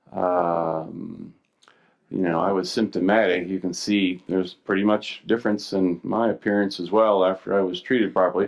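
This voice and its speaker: A man speaks in a plain, everyday voice with an American accent. His pace is moderate and his pitch variation ordinary. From Missouri, US Midwest. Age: 60s. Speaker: physician. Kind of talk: conference lecture. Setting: stage with audience. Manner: casual, with many fillers and restarts.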